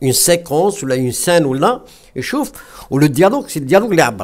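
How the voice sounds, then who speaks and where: Against a quiet background, a man's voice moves through very wide pitch swings. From western Algeria. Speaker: retired English teacher, film club founder; retired English teacher. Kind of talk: discussion talk. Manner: halting, many hesitations.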